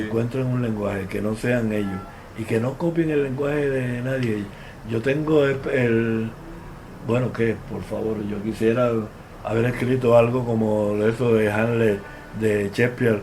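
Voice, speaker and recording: A man with a Cuban accent speaks at medium pitch with fairly even intonation over noticeable background noise. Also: fairly slow pace. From Santiago de Cuba, Cuba. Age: 70s. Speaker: playwright. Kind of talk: interview answer.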